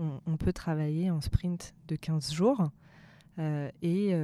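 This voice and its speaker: Speaking at a very slow pace, a woman uses a fairly low pitch and fairly even intonation in a dark, mellow tone. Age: 30s. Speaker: HR agile consultant. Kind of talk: interview.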